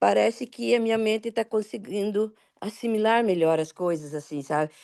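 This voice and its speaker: A woman talks at a moderate pace with a dark, mellow tone and medium pitch with ordinary variation. The sound is dry and close with no echo, over a quiet background. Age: 60s. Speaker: student. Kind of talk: casual question in online class.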